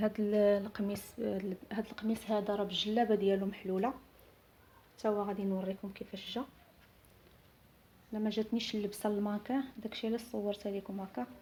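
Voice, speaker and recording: In a Moroccan accent, the speaker uses a dark, mellow, somewhat breathy tone with fairly even intonation, a moderate pace, and long, frequent pauses. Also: woman, medium pitch for a woman. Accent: Moroccan Arabic (Darija). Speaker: seamstress. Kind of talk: product showcase. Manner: halting.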